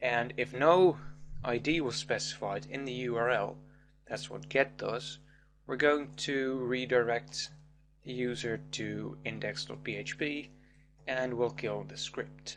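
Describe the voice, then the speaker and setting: The pace is fairly slow. A man talks in a non-native accent. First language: not English. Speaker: programming tutor. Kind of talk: tutorial.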